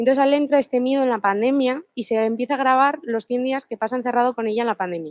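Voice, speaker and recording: With hardly any pauses, a woman talks at a very fast pace in a high voice with ordinary pitch variation, recorded dry and close with no echo. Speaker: law student presenting a book. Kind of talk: seminar presentation. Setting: seminar room with live and online audience.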